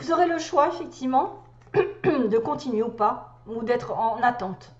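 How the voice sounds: A hoarse, put-on character voice delivered at a moderate pace. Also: woman, high pitch for a woman.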